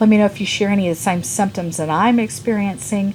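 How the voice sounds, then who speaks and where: Noticeable background noise sits behind a woman talking at a fairly quick pace. Her medium-pitched voice shows ordinary pitch variation. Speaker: beauty and lifestyle vlogger. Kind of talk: personal health vlog. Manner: halting, with fillers.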